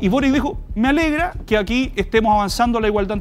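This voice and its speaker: Someone speaks at a fairly quick pace with lively intonation over light background noise. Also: man. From Chile. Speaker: lawyer and panelist; lawyer, panelist. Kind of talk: panel debate. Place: studio.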